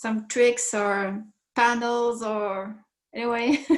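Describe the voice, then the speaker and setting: Here a woman speaks in a Quebec accent at a fairly high pitch. Her pace is very slow and her intonation monotone and flat. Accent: French Canadian accent in English. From Quebec, Canada. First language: French. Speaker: participant in online group call. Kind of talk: casual group call conversation. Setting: group call. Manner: halting, many hesitations and repetitions.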